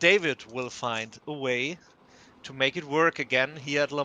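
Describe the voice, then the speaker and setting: A man with a non-native accent, fairly high pitch and a bright, sharp tone, speaking at a very slow pace with ordinary pitch variation in a dry, close sound with no echo. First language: German. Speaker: sim racing commentator. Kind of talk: live commentary. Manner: hesitant, many fillers and restarts.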